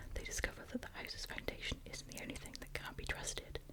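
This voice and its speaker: Background noise is noticeable while a woman whispers fairly quickly. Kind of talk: reading a book blurb aloud in ASMR style. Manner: whispered, soft-spoken.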